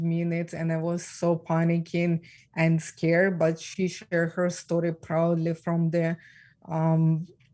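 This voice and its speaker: The voice is shaky and moves at a fairly slow pace. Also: woman. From Ukraine. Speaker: trafficking survivor and speaker. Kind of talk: interview. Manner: shaky voice.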